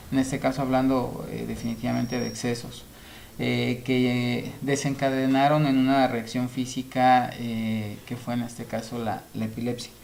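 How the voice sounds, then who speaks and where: A man's medium-pitched, monotone, flat delivery at a fairly slow pace over noticeable background noise. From Mexico, Nayarit. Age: 30s. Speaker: interview guest sharing health experience. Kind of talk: interview testimony. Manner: halting, many filler sounds.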